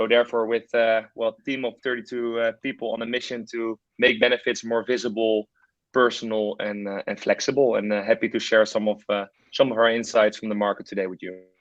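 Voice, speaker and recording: Spoken with a Dutch accent, the voice moves at a fairly quick pace in a monotone, flat intonation. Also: man, medium pitch for a man. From Netherlands. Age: 30s. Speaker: startup founder and CEO. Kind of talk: webinar presentation. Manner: hesitant, many fillers.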